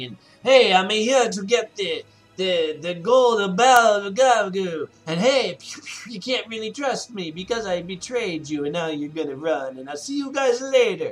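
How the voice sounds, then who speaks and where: Music plays behind a man doing a put-on character voice. He speaks fairly slowly in a high pitch. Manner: sly, over the top.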